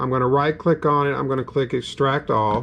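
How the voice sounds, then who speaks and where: At a moderate pace, a man talks in a Southern US accent. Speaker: gaming YouTuber. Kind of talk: tutorial. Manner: casual, halting with fillers.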